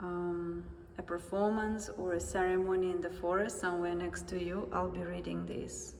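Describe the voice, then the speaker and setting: A woman with a Russian accent and a fairly low pitch, with audible room echo and noticeable background noise. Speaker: artist. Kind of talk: guided exhibition tour. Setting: museum gallery.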